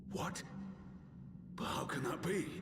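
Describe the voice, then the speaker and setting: Over loud background noise with a slight echo, a man does a put-on character voice at a fairly high pitch. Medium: video game. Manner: gruff, earnest.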